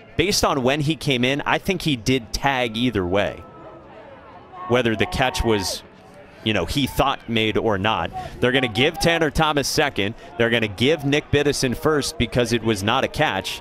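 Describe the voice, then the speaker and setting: Over noticeable background noise, a man speaks at a moderate pace with very even loudness. His medium-pitched voice has lively intonation. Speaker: play-by-play announcer. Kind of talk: live sports commentary. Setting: broadcast booth at ballpark.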